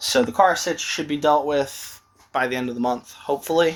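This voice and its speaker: This man's pitch sits fairly high, and his intonation is lively. He speaks at a fairly slow pace. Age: 30s. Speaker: vlogger. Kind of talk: casual vlog monologue. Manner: casual, filler-heavy.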